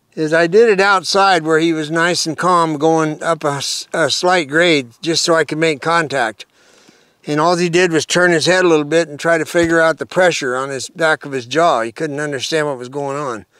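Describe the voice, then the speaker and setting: At a moderate pace, a man speaks in a bright, sharp tone with ordinary pitch variation and a dry sound with no echo. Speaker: horse trainer. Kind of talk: tutorial. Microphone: lapel.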